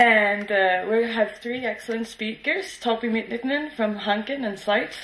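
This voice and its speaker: Fairly high-pitched woman at a moderate pace with fairly even intonation, plus audible room echo and noticeable background noise. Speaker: session moderator, PhD student. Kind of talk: session moderation. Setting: conference room with audience.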